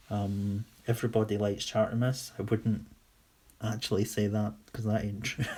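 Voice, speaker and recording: A man with a Scottish accent, fairly low in pitch, dark and mellow in tone, monotone and flat, at a moderate pace. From Scotland, Whitburn (West Lothian). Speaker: toy customiser / livestreamer. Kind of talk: casual livestream chat answering viewer questions. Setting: live stream on camera.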